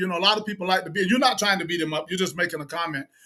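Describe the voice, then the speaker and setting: A man with an American accent uses a raised, projected voice with a bright, sharp tone. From US South, South Carolina. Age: 60s. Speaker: podcast host. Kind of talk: interview. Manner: animated.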